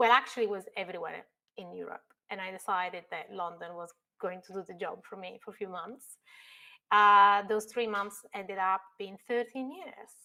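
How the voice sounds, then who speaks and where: In an Italian accent, a woman speaks at a moderate pace and medium pitch with a bright, sharp tone, ordinary pitch variation and big swings in loudness. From northern Italy. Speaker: construction technology expert. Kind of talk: podcast interview.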